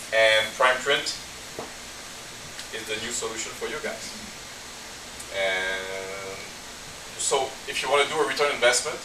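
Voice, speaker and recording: This man talks at a fairly slow pace with long, frequent pauses, a medium pitch, very wide pitch swings and big swings in loudness, recorded with audible room echo and noticeable background noise. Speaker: dental equipment sales representative. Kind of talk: product presentation.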